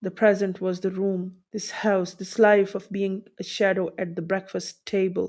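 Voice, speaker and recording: Speaking with a non-native accent, a woman holds a medium pitch. Her delivery is fairly slow, with monotone, flat intonation. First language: not English. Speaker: audiobook narrator. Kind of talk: reading aloud.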